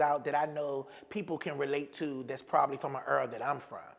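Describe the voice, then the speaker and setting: Talking at a fairly quick pace, a man with an American accent has a fairly high pitch and vocal fry. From Washington, D.C. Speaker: playwright, comedian and actor. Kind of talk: interview answer. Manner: casual, animated, profane.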